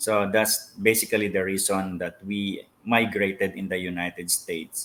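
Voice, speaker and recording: A man speaks with a Filipino accent at a moderate pace. His fairly low pitch stays in a monotone, flat intonation. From Philippines. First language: Filipino languages. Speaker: pastor. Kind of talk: interview. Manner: hesitant, many fillers.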